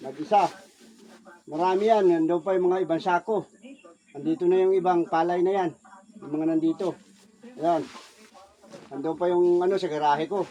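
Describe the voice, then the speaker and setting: Against noticeable background noise, a man with a high pitch talks in fairly even intonation, leaving long, frequent pauses. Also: moderate pace. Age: old. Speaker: vlogger and rice farmer, former overseas worker. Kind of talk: casual vlog narration.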